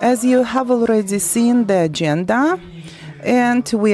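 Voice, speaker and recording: Through noticeable background noise, a woman with a fairly high voice speaks at a very slow pace, using ordinary pitch variation. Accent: non-native. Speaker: forum moderator. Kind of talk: event moderation. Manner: halting.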